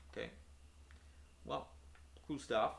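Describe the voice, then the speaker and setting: A man speaks with a strong Italian accent and vocal fry. His tone is bright and sharp. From Italy. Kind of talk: unscripted casual talk to camera on philosophy. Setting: home room, poor audio quality. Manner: hesitant, many filler words.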